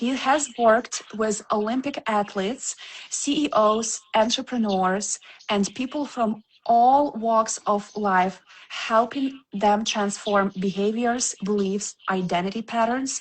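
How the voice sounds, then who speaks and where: A woman's fairly high, somewhat breathy voice with a non-native accent, at a very slow pace with ordinary pitch variation. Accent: foreign. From Ukraine. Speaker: podcast host. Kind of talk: podcast interview.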